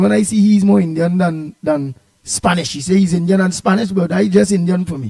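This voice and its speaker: A man's voice sits high in pitch, with a dark, mellow tone. He moves at a fairly quick pace, his intonation lively. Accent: Trinidadian. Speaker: talk show host. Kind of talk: talk radio discussion. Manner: halting, hesitant.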